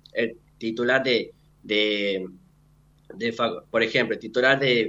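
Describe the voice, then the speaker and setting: The voice has a bright, sharp tone and fairly even intonation, moving at a fairly slow pace. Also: man. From Argentina, Santiago del Estero (Frías). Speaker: medical student. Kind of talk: radio interview. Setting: remote link into radio studio.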